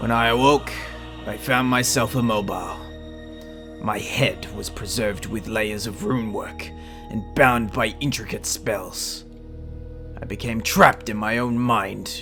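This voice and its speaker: Loud music plays in the background as a man speaks in a put-on character voice. His pitch is medium and his pace fairly slow. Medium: solo performance. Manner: haughty, contemptuous.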